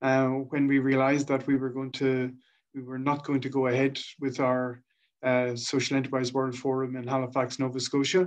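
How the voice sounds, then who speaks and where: A man speaks in an Irish accent at a moderate pace. His medium-pitched voice has a monotone, flat intonation. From Ireland. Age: 50s. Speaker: social enterprise founder and director. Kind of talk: presentation on a video call. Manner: halting, many fillers.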